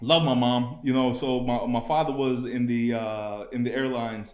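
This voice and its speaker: In a New York accent, a man of medium pitch speaks with fairly even intonation, and audible room echo surrounds his voice. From New York / New Jersey area, US. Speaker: network engineer, former cab driver. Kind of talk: podcast interview.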